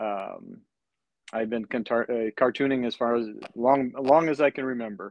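A man with an American accent has an ordinary speaking voice. He talks at a moderate pace with fairly even intonation. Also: medium pitch for a man. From northern Wisconsin. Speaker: cartoonist. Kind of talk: casual interview.

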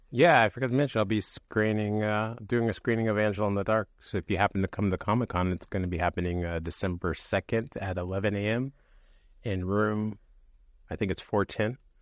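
With a West Coast accent, a man talks at a fairly quick pace in a fairly low voice with ordinary pitch variation, the sound dry and close with no echo over a quiet background. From San Francisco Bay Area. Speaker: podcast co-host. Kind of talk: casual chat.

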